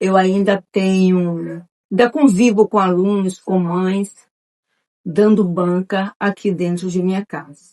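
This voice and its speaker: A woman's medium-pitched voice at a very slow pace, dry and close with no echo. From Bahia, Brazil (Nilo Peçanha). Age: 60s. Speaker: retired schoolteacher. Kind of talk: oral history interview.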